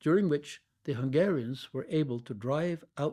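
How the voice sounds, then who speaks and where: Speaking fairly slowly in a Norwegian accent, a man has a dark, mellow tone, a fairly high pitch and ordinary pitch variation. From Norway (Oslo). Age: 70s. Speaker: Tibetan studies professor. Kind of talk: oral history interview, reading prepared memoir. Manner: formal.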